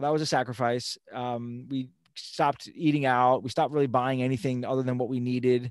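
A man with an American accent speaks at a fairly quick pace. His medium-pitched voice is monotone and flat. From Long Island, New York. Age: 40s. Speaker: fitness professional and financial coach. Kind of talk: casual interview.

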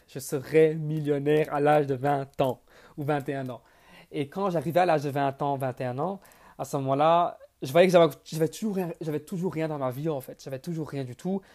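Loudness swings a lot as a man talks at a fairly slow pace. His pitch is fairly high, with ordinary pitch variation. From Belgium. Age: 20s. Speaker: entrepreneur and podcast host. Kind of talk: monologue. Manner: halting, frequent repetitions.

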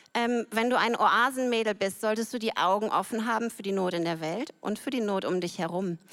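Fairly high in pitch, a woman talks in a normal speaking voice at a fairly quick pace with hardly any pauses and ordinary pitch variation. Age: 40s. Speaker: church member. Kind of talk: testimony.

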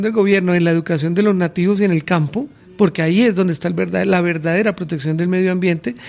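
This man has a high pitch that varies in an ordinary way. He speaks at a very fast pace. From Colombia, Santander. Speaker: political campaign director. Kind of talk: radio interview. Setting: radio studio.

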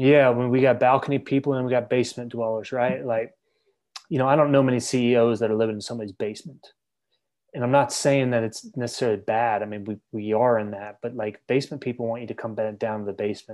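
A man speaks very fast with an American accent. The background is quiet. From Maryland, US. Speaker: sports psychology coach and author. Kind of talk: casual interview. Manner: animated.

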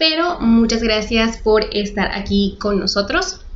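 A woman with lively intonation speaks at a fairly slow pace, with audible room echo and noticeable background noise. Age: 20s. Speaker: podcast co-host. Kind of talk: casual chat.

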